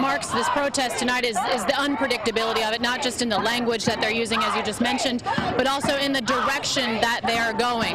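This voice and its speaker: A woman's high-pitched voice at a very fast pace, with hardly any pauses, very even loudness, fairly even intonation and noticeable background noise. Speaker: TV news reporter and anchor. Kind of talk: field news report. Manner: dynamic, conversational.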